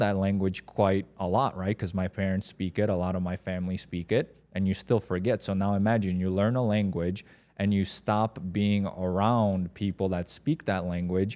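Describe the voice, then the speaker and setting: With a Polish accent, a man speaks at a moderate pace in a fairly low pitch with fairly even intonation. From Poland, then moved abroad as a teen. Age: 30s. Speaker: podcast co-host. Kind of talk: casual chat.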